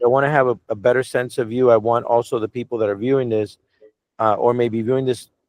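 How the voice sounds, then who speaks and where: A man with an American accent speaks at medium pitch and a fairly quick pace. His intonation is monotone and flat. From Cuban American. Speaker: media company executive interviewing a director. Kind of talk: casual video call interview. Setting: video call.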